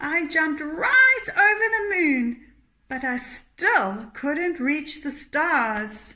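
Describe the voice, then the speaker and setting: Croaky and high-pitched, a woman uses a put-on character voice at a very slow pace with very wide pitch swings. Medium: read story.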